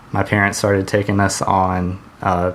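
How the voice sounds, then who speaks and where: Noticeable background noise runs under this man speaking with an American accent. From US South, Georgia (Hampton, near Atlanta). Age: 20s. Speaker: podcast co-host. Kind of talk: casual chat. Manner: hesitant, many fillers.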